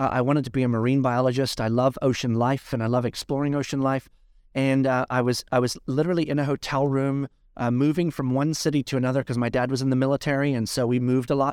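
Speaking very fast in a medium-pitched, monotone voice with flat intonation, the man is heard on a very clean recording with a silent background. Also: very even loudness, dry, close sound with no echo. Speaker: pastor and entrepreneur. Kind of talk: casual interview.

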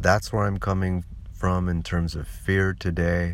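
A man speaks in a very deep, low pitch with an American accent. His pace is very slow. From California. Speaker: podcaster. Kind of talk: personal monologue. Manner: halting.

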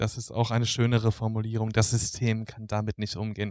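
A medium-pitched man at a moderate pace, on a very clean recording with a silent background and a dry, close sound with no echo. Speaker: social work student. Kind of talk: casual chat. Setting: lying on his bed. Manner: halting.

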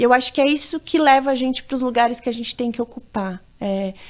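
Her high-pitched voice shows ordinary pitch variation as this woman speaks. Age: 30s. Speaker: human rights educator, nonprofit founder. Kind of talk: interview.

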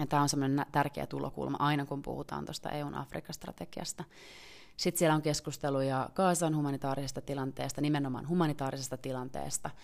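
The speech comes at a very fast pace with vocal fry. Its intonation stays fairly even. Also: woman, very deep, low pitch for a woman. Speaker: member of parliament and podcast host. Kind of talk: solo podcast commentary. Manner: casual, with frequent hesitations.

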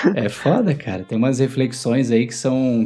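A man talks at a medium pitch. Noticeable background noise can be heard. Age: 30s. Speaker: podcast co-host. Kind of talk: casual chat.

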